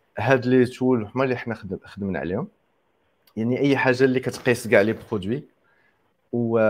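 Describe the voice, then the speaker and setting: Speaking at a moderate pace with long, frequent pauses, a man holds a medium pitch with ordinary pitch variation. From Morocco. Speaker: software engineer. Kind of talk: interview. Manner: hesitant, filler-heavy.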